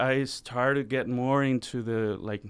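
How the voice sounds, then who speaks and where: A man's voice with a Spanish accent. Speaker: musician. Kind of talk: radio interview. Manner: casual, halting with many fillers.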